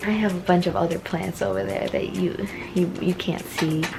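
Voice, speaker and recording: A soft-spoken woman with noticeable background noise. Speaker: plant vlogger. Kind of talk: casual vlog tour. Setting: at home. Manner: soft-spoken, indoor voice.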